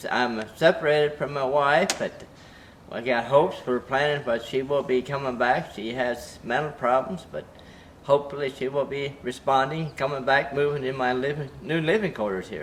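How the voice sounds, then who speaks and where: The speech moves at a moderate pace with fairly even intonation, and there is noticeable background noise. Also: man, fairly high pitch for a man. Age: 60s. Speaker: chicken farmer. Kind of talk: casting interview.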